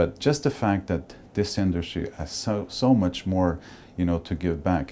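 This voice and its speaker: In a Portuguese accent, a man speaks with a very deep, low voice and a dark, mellow tone. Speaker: cruise industry executive. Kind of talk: interview testimony. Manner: conversational, somewhat halting.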